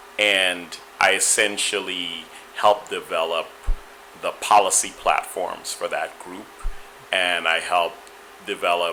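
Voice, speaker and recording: A man with an American accent speaks in a very deep, low voice at a fairly slow pace, his intonation monotone and flat. Long, frequent pauses and big swings in loudness come through over noticeable background noise. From Guyana and Trinidad, US from age 10. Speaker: political press secretary. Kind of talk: interview. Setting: online talk show with chat room. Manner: conversational with frequent fillers.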